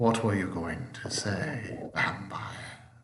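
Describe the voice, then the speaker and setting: A man's rumbling put-on character voice at a medium pitch and very slow pace. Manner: ominous.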